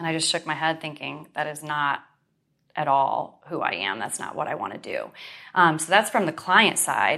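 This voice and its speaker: A woman with an American accent, very deep, low pitch, vocal fry, a bright, sharp tone, lively intonation, big swings in loudness and a moderate pace. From Western New York. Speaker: real estate broker and speaker. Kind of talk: interview, casual.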